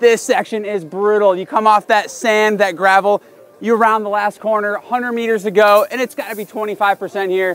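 A high-pitched man talks at a fairly quick pace with fairly even intonation, the sound dry with no echo. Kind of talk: commentary. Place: open country.

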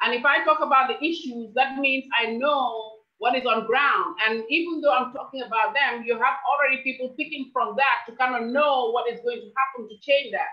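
Against a quiet background, a woman with a high pitch speaks at a moderate pace with ordinary pitch variation and hardly any pauses. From Gambia. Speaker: presidential aspirant; interviewee. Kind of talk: interview. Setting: video call. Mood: earnest, persuasive. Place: home room. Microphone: video call.

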